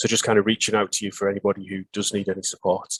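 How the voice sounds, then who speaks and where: A man talks at a very fast pace, recorded with a dry, close sound and no echo. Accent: northeast English. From northeast England. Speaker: pharmacy superintendent. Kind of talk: webinar presentation. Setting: online webinar. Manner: hesitant, many fillers.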